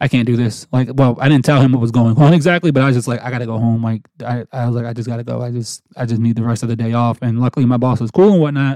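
A man with an American accent talks at a very fast pace with hardly any pauses. His medium-pitched voice is dark and mellow, with fairly even intonation. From New Jersey. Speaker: podcast host. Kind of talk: personal storytelling monologue.

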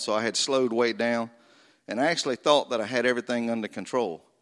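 With a Southern US accent and a medium pitch, a man talks at a moderate pace over a quiet background. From North Florida. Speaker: war veteran. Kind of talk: testimony. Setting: church.

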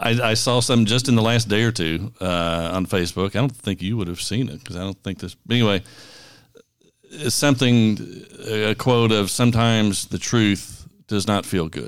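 A man with a Kentucky accent speaks at a moderate pace. His pitch sits fairly low. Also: ordinary pitch variation. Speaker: podcast co-host, pastor. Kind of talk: casual chat.

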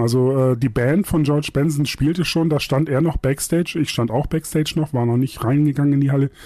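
A man with a normal speaking voice. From northern Germany, Buxtehude near Hamburg. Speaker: music publisher and radio DJ. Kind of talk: casual interview chat. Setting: video call.

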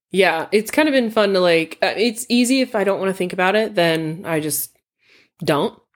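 A woman with an unremarkable speaking voice talks at medium pitch and a moderate pace, her intonation lively. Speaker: podcast host. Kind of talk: casual chat.

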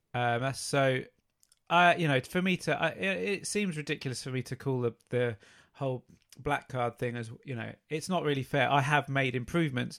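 A man's ordinary speaking voice at medium pitch, with ordinary pitch variation and a moderate pace, on a very clean recording with a silent background. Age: 30s. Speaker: fitness podcast co-host. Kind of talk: casual chat.

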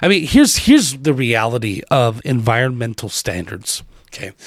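With an American accent, a man speaks at a fairly quick pace in a medium pitch. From Wisconsin, US Midwest. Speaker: political podcast host. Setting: solo podcast. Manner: loud, insistent and emphatic, repeating phrases with hammering emphasis; halting with frequent fillers and restarts.

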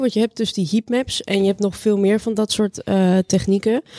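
A dark, mellow tone moves at a moderate pace in dry, close sound with no echo on a very clean recording with a silent background. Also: woman. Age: 20s. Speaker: AI master student. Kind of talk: interview.

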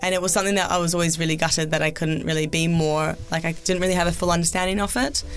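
A woman with a New Zealand accent speaks at a fairly low pitch and a very fast pace, her intonation fairly even and her loudness very even. Music plays in the background. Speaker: former Olympic skier and sports TV presenter. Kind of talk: interview.

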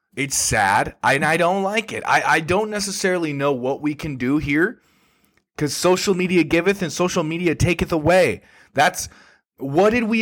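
With an American accent, a man speaks at a high pitch and moderate pace with ordinary pitch variation. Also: very clean recording, silent background. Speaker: comedian podcast host. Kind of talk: angry rant; casual monologue. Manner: indignant, worked-up.

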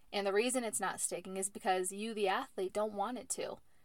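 A plain, everyday voice speaks at a moderate pace. The intonation stays fairly even. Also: woman. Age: 20s. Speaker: professional softball player and podcast host. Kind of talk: motivational monologue. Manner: casual, with repetitions and fillers.

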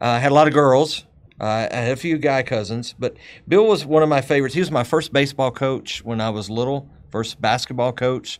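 On a very clean recording with a silent background, a man with a Texas accent speaks at a fairly quick pace in a medium pitch with lively intonation. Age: 50s. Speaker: podcast host. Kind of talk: casual chat. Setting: studio.

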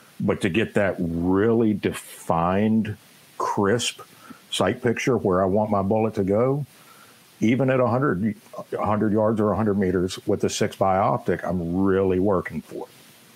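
Noticeable background noise surrounds a man who speaks fairly slowly at a fairly low pitch, with fairly even intonation. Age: 30s. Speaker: army veteran and firearms trainer. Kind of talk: casual interview.

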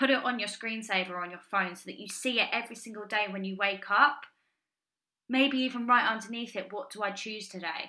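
With a bright, sharp tone and an enthusiastic tone, the voice moves at a fairly quick pace, showing big swings in loudness and ordinary pitch variation. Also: woman, fairly high pitch for a woman. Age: 20s. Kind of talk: solo podcast monologue.

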